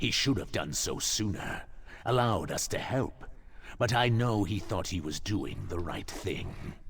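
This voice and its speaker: A man uses a put-on character voice at a fairly low pitch and a moderate pace. Clear background noise can be heard. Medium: video game.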